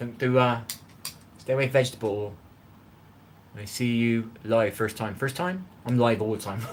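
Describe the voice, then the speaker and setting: Speaking at a moderate pace, a man with a medium-pitched voice and ordinary pitch variation leaves long, frequent pauses over noticeable background noise. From England. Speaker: cooking livestreamer. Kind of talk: casual live-stream chat. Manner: animated.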